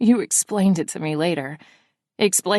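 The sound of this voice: Behind the speaker, the background is quiet. An unforced reading voice shows ordinary pitch variation.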